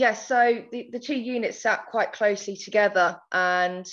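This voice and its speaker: In a quiet background, a woman with an Essex accent speaks at medium pitch with monotone, flat intonation. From England, countryside. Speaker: agricultural marketing manager. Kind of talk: podcast interview.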